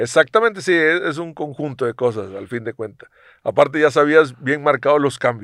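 At a moderate pace, a man talks in a fairly high, plain, everyday voice with lively intonation and big swings in loudness, the sound dry and close with no echo. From Mexico, Coatzacoalcos, Veracruz. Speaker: retired professional footballer. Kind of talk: casual interview.

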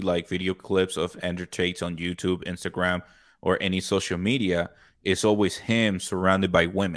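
Very deep and low, a man's voice moves at a moderate pace. The recording is very clean with a silent background. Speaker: podcast host. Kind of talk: casual chat.

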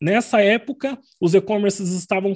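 This man talks in a high register, his pitch rising and falling in an ordinary way. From Paraná, Brazil. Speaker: business strategist and mentoring group host. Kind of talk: casual group meeting. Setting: video call.

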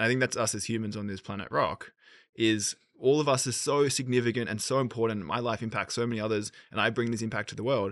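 With an Australian accent, a man talks at a very fast pace, using a medium pitch and fairly even intonation against a quiet background. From Australia, Sydney. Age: 30s. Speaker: entrepreneur. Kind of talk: casual chat.

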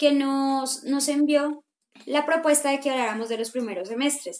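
Her voice sits high for a woman. She talks at a moderate speed. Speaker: podcast co-host. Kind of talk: casual chat. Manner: animated.

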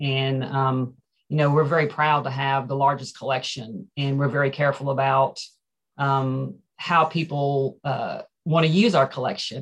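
A woman speaks in a very deep, low pitch, somewhat breathy. She talks at a fairly slow pace with ordinary pitch variation. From Ferrum, Franklin County, Virginia. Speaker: museum director. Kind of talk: casual interview.

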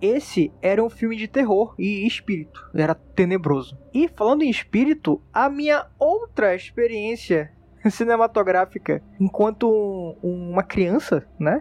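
A man's high voice with lively intonation at a fairly slow pace, in a dry, close sound with no echo. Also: hardly any pauses. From Manaus, northern Brazil. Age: 20s. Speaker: podcast editor and host. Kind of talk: casual monologue. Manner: animated.

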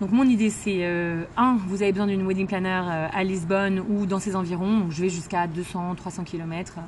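Somewhat breathy and medium in pitch, a woman talks at a moderate pace with fairly even intonation. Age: 30s. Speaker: entrepreneur, former lawyer. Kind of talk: interview. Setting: in person.

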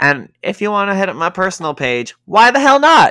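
A man with a Canadian accent speaks in a bright, sharp tone with lively intonation, and the sound is dry and close with no echo. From Canada, Toronto. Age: 20s. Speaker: podcast host, entertainment production coordinator. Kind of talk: casual chat. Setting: video call.

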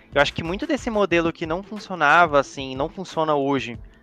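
A man's fairly high voice, a plain, everyday voice, at a fairly quick pace with ordinary pitch variation, in a dry, close sound with no echo. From Brazil, Espírito Santo (Vitória). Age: 20s. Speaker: data governance professional. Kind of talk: casual chat.

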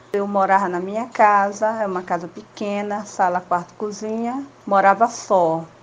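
Using an unremarkable speaking voice, a woman talks at a fairly slow pace with medium pitch and fairly even intonation. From São Luís, Maranhão, Brazil. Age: 50s. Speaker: teacher and pedagogy student. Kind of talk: interview.

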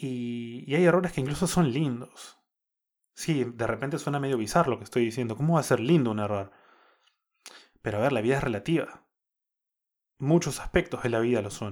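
Speaking at a fairly quick pace with long, frequent pauses, a man uses a medium pitch and ordinary pitch variation in a very clean recording with a silent background. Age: 30s. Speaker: podcast host. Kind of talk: casual monologue. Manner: unscripted, with frequent fillers.

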